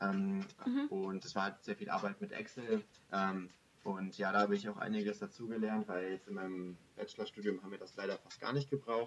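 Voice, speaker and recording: A fairly fast-talking man whose loudness swings widely. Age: 20s. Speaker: master's student. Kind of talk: interview. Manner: hesitant, many fillers.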